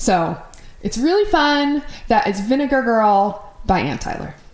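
Speaking very slowly with an American accent, a woman swings her pitch very widely, and the room echo is audible. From Minnesota. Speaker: podcast host. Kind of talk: casual chat.

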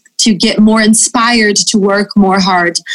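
Speaking at a very slow pace with a Portuguese accent, the woman sounds somewhat breathy. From Brazil. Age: 30s. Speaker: fashion magazine editor. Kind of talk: interview.

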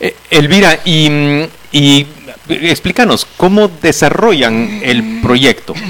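A fairly high-pitched man with a Guatemalan accent, speaking very slowly with lively intonation over noticeable background noise. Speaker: radio host. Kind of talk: radio interview.

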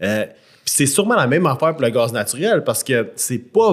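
Heard on a very clean recording with a silent background, a man speaks at a medium pitch with a Quebec accent. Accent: Québécois French. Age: 30s. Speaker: podcast co-host. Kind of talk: casual chat.

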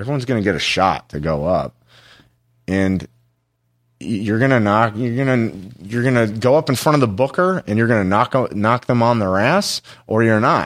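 This man has an ordinary speaking voice, medium in pitch, with an American accent and lively intonation at a moderate pace. The recording is very clean, with a silent background. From Los Angeles. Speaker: comedy club talent coordinator. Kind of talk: casual interview.

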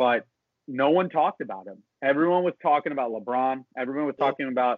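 Talking at a fairly quick pace, a man with a medium pitch and ordinary pitch variation has a plain, everyday voice. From South Florida (Miami). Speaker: sports podcast host. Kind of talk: casual chat.

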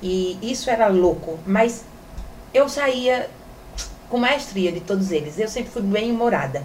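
Speech comes at a fairly slow pace with long, frequent pauses and lively intonation. Room echo is audible, and background noise is noticeable. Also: woman, fairly high pitch for a woman. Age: 40s. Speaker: sexologist and influencer. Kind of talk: casual interview chat.

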